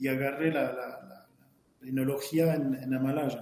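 A man talks at a fairly slow pace. He has a French accent. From France, Burgundy. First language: French (speaking Spanish). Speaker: winemaker. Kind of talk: interview. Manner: halting, frequent repetitions.

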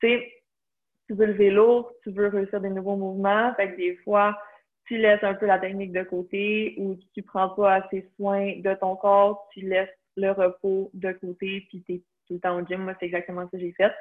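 A woman with a Quebec accent at a medium pitch, fairly slow and flat in a monotone, with big swings in loudness. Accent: Québécois French. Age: 20s. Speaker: nutrition student and CrossFit athlete. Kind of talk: casual interview.

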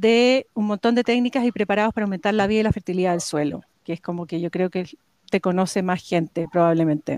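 Here a woman speaks with ordinary pitch variation. The sound is dry and close, with no echo. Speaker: podcast host, vegetable grower. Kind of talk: casual interview.

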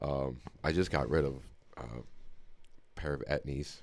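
A man's very deep, low voice at a moderate pace. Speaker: podcast host. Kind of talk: casual chat. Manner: loud, eccentric, profane.

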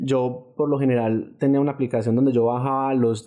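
A man's medium-pitched voice, dark and mellow, in monotone, flat intonation against a quiet background. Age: 20s. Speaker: engineer and traveler. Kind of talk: interview storytelling.

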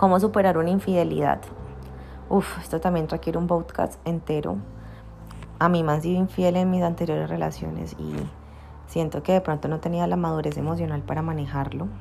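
With a Cali Colombian accent, a woman talks at a fairly quick pace, broken by long, frequent pauses. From Colombia, Cali. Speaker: spiritual teacher and podcaster. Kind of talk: Q&A podcast monologue.

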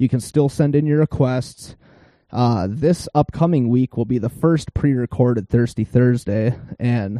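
A man with a Minnesota accent speaks at a fairly slow pace in a medium pitch, showing ordinary pitch variation. His tone is dark and mellow, and the sound is dry and close with no echo. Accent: Upper Midwest (northern Minnesota). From northern Minnesota, Iron Range. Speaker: podcast host. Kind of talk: casual podcast chat. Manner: animated.

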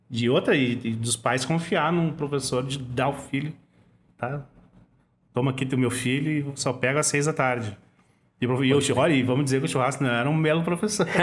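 With long, frequent pauses and fairly even intonation, a man speaks at a moderate pace in a somewhat breathy, fairly high voice. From southern Brazil, Porto Alegre. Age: 40s. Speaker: rapper. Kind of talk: casual interview chat.

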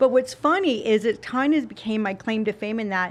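A woman with an American accent speaks in a normal speaking voice, fairly high in pitch with ordinary pitch variation. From Utah, US (Salt Lake City). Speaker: fitness model and TV spokesperson. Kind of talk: casual interview chat.

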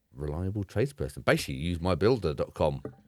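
Talking at a very fast pace, a man with an English accent uses a very deep, low voice. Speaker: podcast co-host. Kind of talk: casual chat. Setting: remote call.

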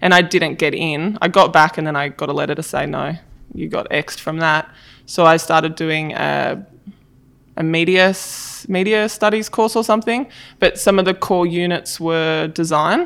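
Her Australian accent comes through in a voice pitched fairly low for a woman. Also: ordinary pitch variation, moderate pace, very clean recording, silent background. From Australia, far south coast of New South Wales. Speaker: design director. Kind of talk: interview.

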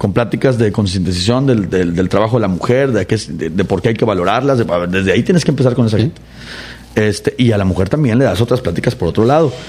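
Over noticeable background noise, a man with a fairly low pitch talks at a very fast pace with lively intonation and very even loudness. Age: 30s. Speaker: political candidate. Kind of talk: interview.

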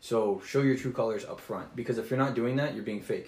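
Very fast speech from a man with an American accent and fairly even intonation. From Texas. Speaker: Marine recruiter. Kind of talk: casual chat.

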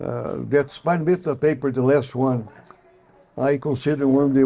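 A man speaks with a Brazilian accent. His pitch is medium. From Brazil, São Paulo. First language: Portuguese. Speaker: pediatric orthopedic surgeon. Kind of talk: interview storytelling. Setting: hotel interview set.

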